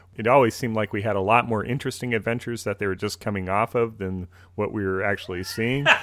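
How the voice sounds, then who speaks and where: A very fast, fairly low-pitched man in a Minnesotan accent, with fairly even intonation. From US Midwest, Minnesota. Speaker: podcast host. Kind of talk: casual chat.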